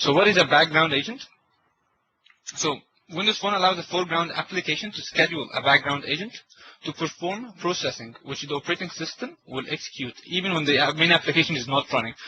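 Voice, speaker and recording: At a very fast pace, a man talks in a high pitch. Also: ordinary pitch variation. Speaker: tech session presenter. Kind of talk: technical webinar presentation. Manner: halting, many fillers and repetitions.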